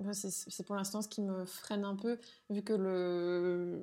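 Speaking very slowly, a woman uses a dark, mellow tone at a medium pitch with monotone, flat intonation. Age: 30s. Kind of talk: interview.

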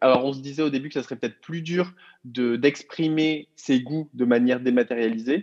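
With a fairly high pitch, a man talks at a fairly quick pace with ordinary pitch variation, recorded with a dry, close sound and no echo. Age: 30s. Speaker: co-founder of a book subscription box. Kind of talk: interview. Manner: hesitant with frequent fillers.

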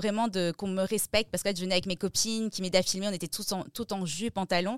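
Woman at a very fast pace, medium pitch, and fairly even intonation, in a dry, close sound with no echo. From France, Strasbourg. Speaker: music journalist and press attaché. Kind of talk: interview.

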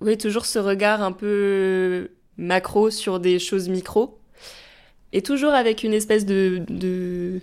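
A woman's medium-pitched voice, very slow, with fairly even intonation. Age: 20s. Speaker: theatre writer. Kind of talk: casual chat. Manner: halting.

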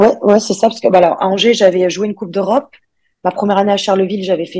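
In a dark, mellow tone, the voice races at a very fast pace with fairly even intonation. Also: woman. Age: 20s. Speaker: professional basketball player. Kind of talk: casual interview. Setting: video call. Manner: halting.

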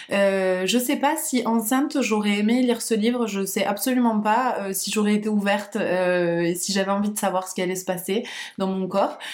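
Audible room echo surrounds a woman speaking at a moderate pace. Her medium-pitched voice has ordinary pitch variation. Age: 30s. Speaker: founder of a perinatal centre. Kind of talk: casual interview. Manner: hesitant, many fillers and repetitions.

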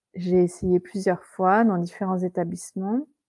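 At a very slow pace, a woman with a dark, mellow tone speaks at medium pitch in a very clean recording with a silent background. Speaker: restaurant owner, former French teacher. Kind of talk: interview, casual conversation.

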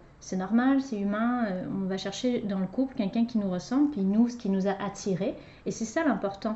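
Using an ordinary speaking voice, a woman talks at a moderate pace with fairly high pitch and ordinary pitch variation. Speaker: relationship coach and podcast host. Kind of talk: casual conversation with her husband. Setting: recording alongside guest.

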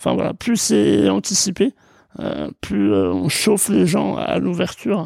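Very wide pitch swings in a man's dark, mellow voice. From Jura, eastern France. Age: 20s. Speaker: startup co-founder. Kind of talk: interview.

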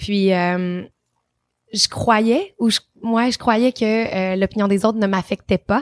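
A woman of medium pitch speaks at a very slow pace with fairly even intonation and very even loudness, the sound dry and close with no echo. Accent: Quebec. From Quebec, Trois-Rivières. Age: 30s. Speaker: travel influencer and TV host. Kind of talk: interview.

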